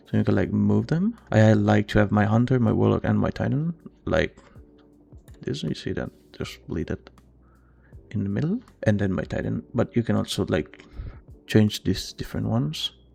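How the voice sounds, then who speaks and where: A man talks at a moderate pace with long, frequent pauses. Music plays in the background. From Italy. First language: Italian. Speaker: gaming tutorial creator. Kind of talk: tutorial. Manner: casual, hesitant with many fillers.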